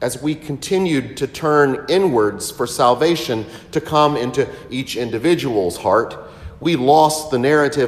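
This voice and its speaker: A fairly slow-paced man, pitch varying in an ordinary way. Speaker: priest. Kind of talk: sermon. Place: church.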